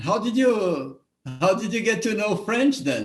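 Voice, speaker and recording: With music in the background, a man in a Brazilian accent speaks at a fairly slow pace, using a high pitch and lively intonation. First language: Portuguese. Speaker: show host. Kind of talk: interview. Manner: halting, repeats words.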